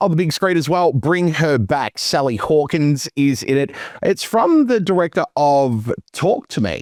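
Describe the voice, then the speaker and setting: Man with an Australian accent, fairly high pitch, lively intonation, fairly slow pace, very even loudness, and a dry, close sound with no echo. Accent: Australian, noticed by others. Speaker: movie podcast co-host. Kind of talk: casual chat.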